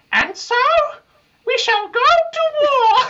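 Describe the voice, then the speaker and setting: A put-on character voice pitched extremely high. It sounds squeaky. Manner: pompous, declaring.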